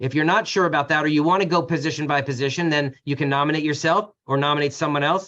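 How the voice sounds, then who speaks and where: A very fast pace, fairly even intonation and a bright, sharp tone. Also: man. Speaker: community association attorney. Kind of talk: webinar panel discussion. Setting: online webinar.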